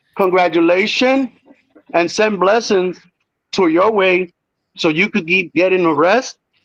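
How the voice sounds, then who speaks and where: A man speaks fairly slowly with a high pitch and ordinary pitch variation, leaving long, frequent pauses. His loudness stays very even, and the sound is dry and close with no echo. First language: Spanish. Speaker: predator catcher. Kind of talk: heated debate. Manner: sarcastic.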